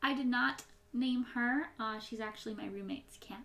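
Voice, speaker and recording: A woman with a high voice and ordinary pitch variation keeps up a fairly quick pace. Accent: American. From US Midwest. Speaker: YouTuber. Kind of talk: casual Q&A chat. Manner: sometimes mushes words when rushing.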